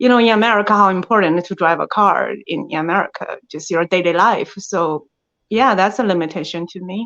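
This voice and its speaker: A woman speaks with a strong Chinese accent against a quiet background. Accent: thick Chinese. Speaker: actress. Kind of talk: interview. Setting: podcast. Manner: hesitant, with fillers.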